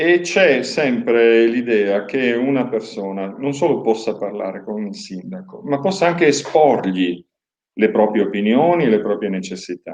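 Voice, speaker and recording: Speaking at a moderate pace, a man with a medium pitch makes very wide pitch swings and big swings in loudness. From Pordenone, Friuli, northeast Italy. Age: 60s. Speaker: mayoral candidate. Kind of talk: interview. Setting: live-streamed TV interview. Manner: measured, formal.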